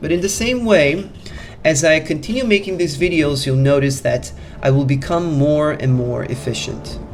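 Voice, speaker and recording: Someone with a non-native accent talks at a moderate pace over music in the background. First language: not English. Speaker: self-help coach. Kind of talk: motivational talk. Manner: halting.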